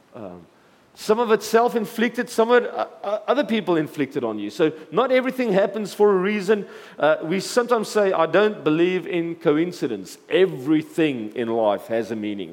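With noticeable background noise behind him, a man with a high pitch speaks at a moderate pace, his pitch swinging very widely. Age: 40s. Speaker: pastor. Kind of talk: sermon.

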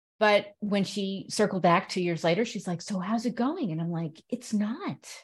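A somewhat breathy woman at medium pitch, with ordinary pitch variation, a moderate pace and a quiet background. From Connecticut, US. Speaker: radio show host and author. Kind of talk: casual chat.

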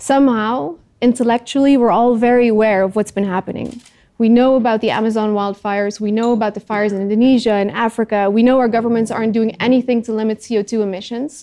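A woman with a Dutch accent, her fairly high voice dark and mellow in tone, talking at a very fast clip. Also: fairly even intonation. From Netherlands. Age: 30s. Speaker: climate activist. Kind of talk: talk to audience.

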